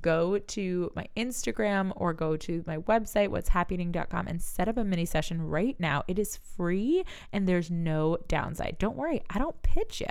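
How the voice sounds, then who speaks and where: A woman talks in an animated tone at a moderate pace, with ordinary pitch variation and hardly any pauses. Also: medium pitch for a woman. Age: 30s. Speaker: life coach and podcast host. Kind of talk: solo podcast monologue.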